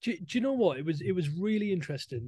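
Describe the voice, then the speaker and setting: A man speaks with a northern English accent and a dark, mellow tone. His intonation is lively. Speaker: dog trainer. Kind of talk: casual chat.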